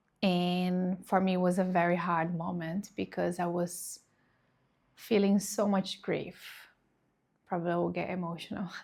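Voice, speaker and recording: In a Portuguese accent, a woman speaks fairly slowly at a fairly low pitch, her intonation monotone and flat. The recording is very clean, with a silent background. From Brazil. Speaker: reiki practitioner. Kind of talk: personal testimony.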